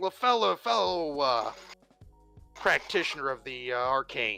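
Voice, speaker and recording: Someone speaks in a put-on character voice. Faint music plays in the background. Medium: actual play.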